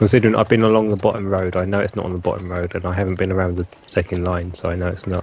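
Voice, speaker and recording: A man with a British accent speaks very fast with hardly any pauses. His very deep, low voice stays monotone and flat. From Britain. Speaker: tabletop role-playing game player. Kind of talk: casual role-playing game chat.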